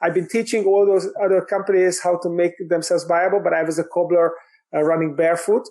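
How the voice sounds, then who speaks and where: A man with a Hungarian accent, high in pitch, with fairly even intonation. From Hungary. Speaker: business coach and author. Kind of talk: podcast interview. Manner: halting, many fillers.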